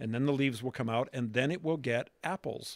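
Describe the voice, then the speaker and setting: A man with an American accent and a normal speaking voice talks at a fairly quick pace and medium pitch, with ordinary pitch variation, on a very clean recording with a silent background. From Pittsburgh, Pennsylvania. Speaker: trade show director. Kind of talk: interview.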